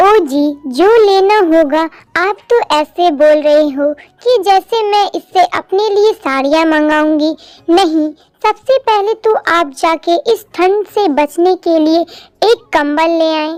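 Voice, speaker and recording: Using a cartoonish character voice, a woman speaks at an extremely high pitch and a fairly slow pace, with ordinary pitch variation, in a dry, close sound with no echo. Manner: firm, commanding.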